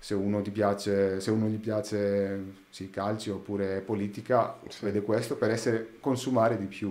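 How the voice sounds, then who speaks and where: This man talks at a moderate pace. His pitch sits fairly low. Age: 30s. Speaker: sound engineer; podcast guest. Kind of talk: casual chat. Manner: halting. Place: studio. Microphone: studio mic.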